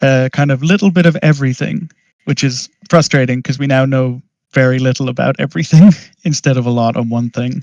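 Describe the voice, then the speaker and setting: Speaking at a fairly quick pace with an American accent, a man with a medium pitch and ordinary pitch variation comes through in a dry, close sound with no echo. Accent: Irish, often mistaken for American. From Ireland. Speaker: master's student in 3D art. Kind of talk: casual chat.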